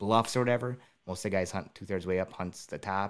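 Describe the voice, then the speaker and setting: A man with an Upper Midwest accent speaks at a fairly quick pace. His pitch is fairly low, with ordinary variation. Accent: Upper Midwest American. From southeastern Wisconsin. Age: 30s. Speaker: public land deer hunter and hunting filmmaker. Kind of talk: casual interview chat.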